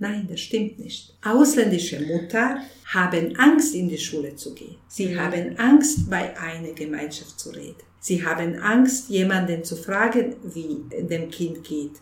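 A woman with a fairly low pitch speaks at a fairly slow pace, her pitch swinging very widely and her loudness shifting in big swings. Noticeable background noise and audible room echo surround her. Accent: Bosnian. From Bosnia, Sarajevo. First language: Bosnian (speaking German). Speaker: refugee aid organizer. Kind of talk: interview. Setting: office of aid organization.

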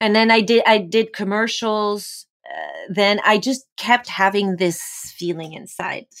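Speaking at a fairly slow pace with a French accent, a woman keeps her intonation fairly even in a very clean recording with a silent background. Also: fairly high pitch for a woman. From France. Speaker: actor. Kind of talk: casual chat.

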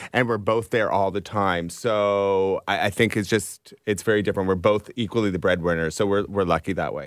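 An unremarkable speaking voice from a man, fairly low in pitch with fairly even intonation, at a fairly quick pace with hardly any pauses, on a very clean recording with a silent background. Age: 40s. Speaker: high school teacher and author. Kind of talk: casual chat.

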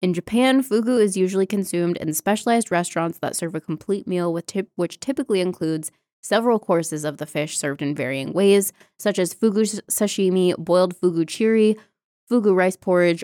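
In a very clean recording with a silent background and a dry, close sound with no echo, a woman with an American accent uses a normal speaking voice at medium pitch, talking at a fairly quick pace with ordinary pitch variation. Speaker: podcast co-host. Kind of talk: reading aloud.

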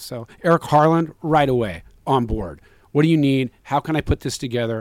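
A man with a plain, everyday voice talks at a fairly quick pace, his pitch fairly high and his intonation lively. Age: 50s. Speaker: novelist and filmmaker. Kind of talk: interview.

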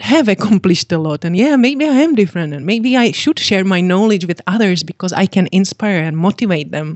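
A woman with a Czech accent speaks with very wide pitch swings. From Czechoslovakia. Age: 50s. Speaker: fitness coach and author. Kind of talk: interview. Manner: giggly, cheerful.

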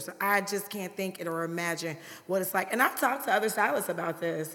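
With an American accent, a woman talks at a very fast pace, her medium pitch showing ordinary pitch variation. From US Midwest, Chicago South Side. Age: 40s. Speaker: hairstylist and podcast co-host. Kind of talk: casual chat.

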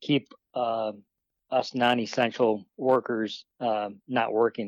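A man talks at a medium pitch with fairly even intonation. The sound is dry and close with no echo, over a quiet background. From Wisconsin, US Midwest. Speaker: personal trainer and bowhunter. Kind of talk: casual interview. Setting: phone call.

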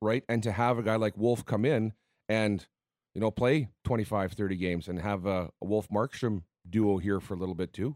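Here is a man with an unremarkable speaking voice, fairly low in pitch, at a moderate pace with ordinary pitch variation. The sound is dry and close with no echo, on a very clean recording with a silent background. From Manitoba, Canada (Winnipeg, then Winkler). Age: 40s. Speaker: hockey analyst. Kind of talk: sports radio chat. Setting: studio.

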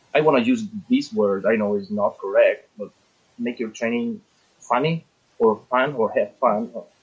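A man with an Italian accent at a moderate pace, with long, frequent pauses. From Italy. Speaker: firearms instructor. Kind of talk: panel discussion. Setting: video call. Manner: halting.

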